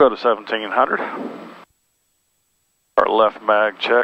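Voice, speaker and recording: Recorded dry with no echo, a man speaks over light background noise. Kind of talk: flight checklist commentary. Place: plane. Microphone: headset.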